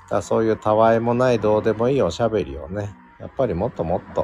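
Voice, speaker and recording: Speaking at a fairly quick pace, a man uses a medium pitch and a relaxed tone. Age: 50s. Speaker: podcast host. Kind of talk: solo live stream talk. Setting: open studio.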